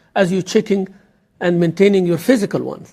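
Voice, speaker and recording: A man speaks at a high pitch with an Arabic accent. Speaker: imam. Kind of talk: lecture. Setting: mosque.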